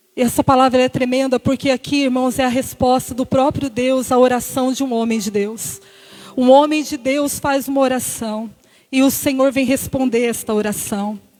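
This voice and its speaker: Noticeable background noise sits under a monotone, flat delivery at a moderate pace. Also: woman, high pitch for a woman. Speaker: deaconess preaching. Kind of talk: sermon. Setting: church service.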